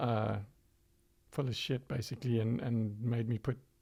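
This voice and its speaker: A man speaks in a monotone, flat voice at a medium pitch. His pace is moderate, and the voice is somewhat breathy. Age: 60s. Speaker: low-carb organization founder. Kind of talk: podcast interview.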